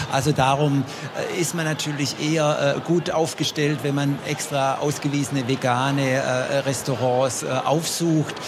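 A man's fairly high voice, very even in loudness, monotone and flat, at a fairly slow pace over noticeable background noise. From Swabia, Germany. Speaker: consumer advice nutrition expert. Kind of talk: radio panel discussion. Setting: trade fair stand.

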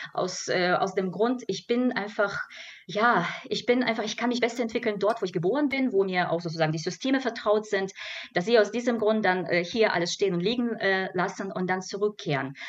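Fairly quick, medium-pitched female speech with ordinary pitch movement over noticeable background noise. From Belarus. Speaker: cultural scientist. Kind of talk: radio panel discussion. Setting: radio studio. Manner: halting.

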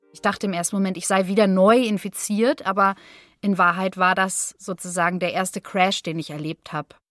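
A woman at medium pitch and a moderate pace, with fairly even intonation, in a dry, close sound with no echo and music in the background. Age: 30s. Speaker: long covid patient, singer and voice artist. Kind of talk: interview testimony.

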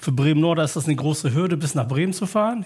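Fairly high in pitch, a man talks at a very fast pace with ordinary pitch variation. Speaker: parent representative at a school. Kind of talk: panel discussion. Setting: stage with audience. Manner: halting.

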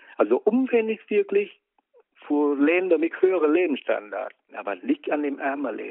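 Here a man's high-pitched voice makes very wide pitch swings. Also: moderate pace. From Vietnam. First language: Vietnamese (speaking German). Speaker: interviewee, host's father. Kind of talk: casual chat. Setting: in a car.

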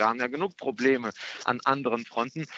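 This man's voice sits at a medium pitch, and his delivery is moderately paced. His pitch moves up and down in an ordinary way. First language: Russian (speaking German). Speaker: member of European Parliament, Green politician. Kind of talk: radio interview. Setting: phone call from an airport. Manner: hesitant, many filler sounds.

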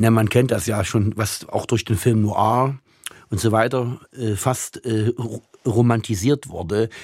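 This man speaks at a very slow pace with fairly even intonation. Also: medium pitch for a man. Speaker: writer and translator. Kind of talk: interview. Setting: remote line.

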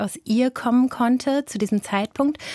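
A woman with an ordinary speaking voice at a moderate pace, fairly even intonation, a dry, close sound with no echo, and a very clean recording with a silent background. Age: 40s. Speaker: journalist and podcaster. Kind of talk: interview.

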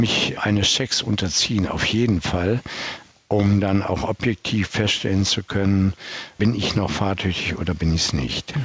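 Fairly low male voice at a fairly slow pace, with ordinary pitch variation over noticeable background noise. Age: 70s. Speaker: traffic psychologist. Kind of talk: interview.

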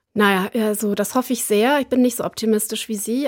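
A woman with a fairly high pitch uses an ordinary speaking voice at a moderate pace. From southern Westphalia, Germany. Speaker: foreign policy expert. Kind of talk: radio interview.

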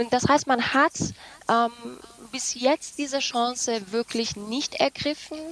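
A woman with a high pitch and fairly even intonation at a very slow pace with long, frequent pauses, dry and close with no echo, over noticeable background noise. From Iranian-German. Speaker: journalist. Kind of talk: radio panel discussion.

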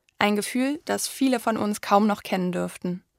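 The sound is close and dry, without any echo. A woman speaks at a moderate pace. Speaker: radio presenter. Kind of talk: scripted narration. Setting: studio. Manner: standing while speaking.

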